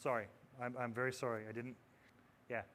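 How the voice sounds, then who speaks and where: A man's voice at medium pitch. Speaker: audio technology presenter. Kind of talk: conference presentation. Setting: stage with audience. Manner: fast; animated.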